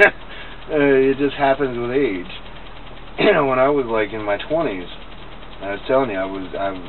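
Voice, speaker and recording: Lively intonation at a fairly slow pace, against noticeable background noise. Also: man. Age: 40s. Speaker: grandchild interviewing grandmother. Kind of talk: casual family conversation.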